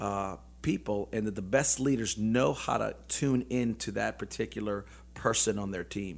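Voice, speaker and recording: On a very clean recording with a silent background, a man with a plain, everyday voice speaks at a fairly low pitch and moderate pace with lively intonation. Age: 50s. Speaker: businessman and motivational speaker. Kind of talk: casual interview. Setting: studio.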